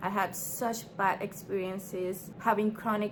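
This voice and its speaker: A woman talks with a non-native accent at medium pitch. Her pace is fairly slow and her intonation fairly even. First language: not English. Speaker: small business owner and vlogger. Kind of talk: casual vlog talk to camera. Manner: hesitant, filler-heavy.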